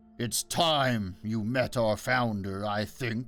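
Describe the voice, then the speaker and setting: Music plays behind a man growling at a medium pitch. His pace is very slow and his intonation fairly even. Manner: growling, angry.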